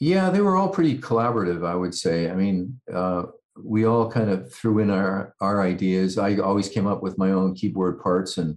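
Over a quiet background, a man speaks at a moderate pace. His pitch is very deep and low. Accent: western Canadian. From Canada, Vancouver area. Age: 60s. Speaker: rock keyboardist. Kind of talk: interview.

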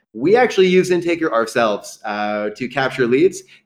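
Someone speaks at a fairly quick pace against a quiet background. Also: man. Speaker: AI software company representative. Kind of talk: interview. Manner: animated.

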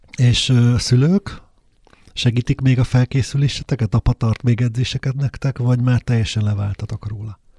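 A man at medium pitch and moderate pace, somewhat breathy with a dark, mellow tone, fairly even intonation and a dry, close sound with no echo. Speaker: interviewer host. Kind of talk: interview. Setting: studio.

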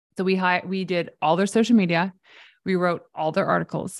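In a Canadian accent, a woman with an unremarkable speaking voice talks at a fairly low pitch with fairly even intonation, on a very clean recording with a silent background. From Canada. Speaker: PR expert and entrepreneur. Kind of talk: casual interview.

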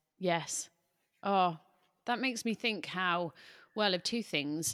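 A woman with a British accent, fairly slow pace, ordinary pitch variation, very clean recording with a silent background. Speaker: podcast host and coach. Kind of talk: interview, casual conversational.

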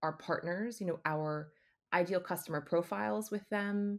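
A woman with a plain, everyday voice and an American accent, fairly low pitch, ordinary pitch variation and a fairly slow pace, on a very clean recording with a silent background. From United States. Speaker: business development executive. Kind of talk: podcast interview.

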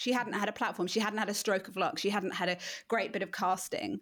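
Speaking in an English accent, a woman talks at a fairly quick pace with a fairly high pitch. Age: 40s. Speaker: marketing coach. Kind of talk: casual interview chat.

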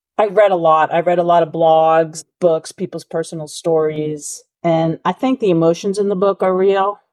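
A woman's plain, everyday voice with an American accent, at a fairly low pitch and moderate pace, with hardly any pauses and a dry, close sound with no echo. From Massachusetts, US. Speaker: novelist. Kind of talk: interview.

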